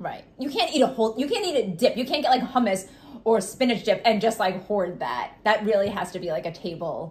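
Fairly high in pitch, a woman with a Long Island accent talks at a fairly quick pace. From Long Island, New York. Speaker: podcast co-host. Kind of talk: casual podcast chat. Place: kitchen. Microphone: phone near.

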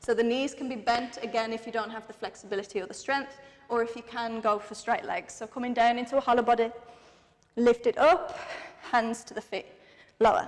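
A woman with a fairly high voice talks at a fairly quick pace, her loudness swinging widely. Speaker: fitness instructor. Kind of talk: guided workout class. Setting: home workout video. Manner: animated, rhythmic counting; encouraging, breathless. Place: empty room.

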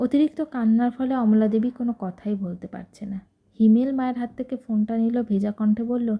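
The reading voice sounds natural, and its intonation stays fairly even.

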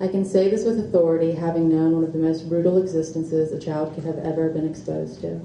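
A woman's fairly low-pitched, monotone, flat delivery at a fairly quick pace, with audible room echo and light background noise. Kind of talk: reading aloud from her book. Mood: earnest, emotional personal testimony. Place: shop. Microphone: podium.

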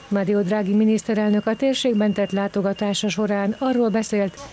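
Music behind a woman's medium-pitched voice. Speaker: news reporter. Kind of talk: news report voiceover.

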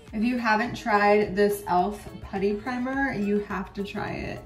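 Faint music sits in the background as the speaker goes at a fairly slow pace, with audible room echo. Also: woman. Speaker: beauty vlogger. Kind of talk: casual vlog chat. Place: bathroom. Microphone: phone near.

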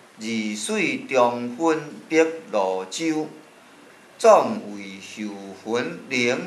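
A man at a very slow pace with lively intonation, amid audible room echo. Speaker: poetry teacher. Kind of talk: classical poetry reading. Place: classroom. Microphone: camera far.

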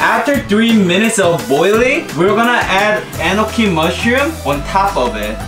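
Clear music plays in the background. Over it, a man with a high pitch talks at a moderate pace. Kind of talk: cooking tutorial. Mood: cheerful, laughing. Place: kitchen.

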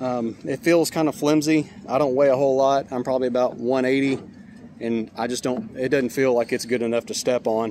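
Over light background noise, a man speaks at a fairly quick pace with fairly even intonation, the sound dry with no echo. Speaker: trailer repair person reviewing. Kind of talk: casual product review. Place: street. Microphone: phone near.

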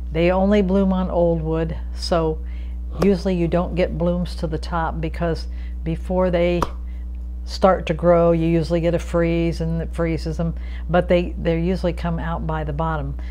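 A woman speaks with a very deep, low pitch. Light background noise sits behind her. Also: moderate pace. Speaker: gardener. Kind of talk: tutorial. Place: kitchen. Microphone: lapel.

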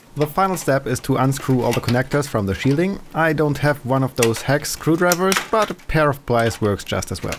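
In a normal speaking voice, a man talks at a fairly quick pace, fairly high in pitch, with lively intonation. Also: hardly any pauses. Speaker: retro computer hobbyist. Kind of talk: casual tutorial narration.

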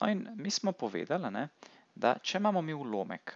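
The sound is dry and close, with no echo. A man's voice moves in very wide pitch swings. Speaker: math tutor. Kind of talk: tutorial. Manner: casual, with filler words.

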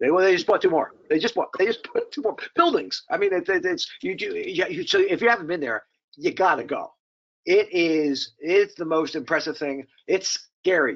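At a moderate pace, a man with a fairly high pitch speaks with big pitch swings.

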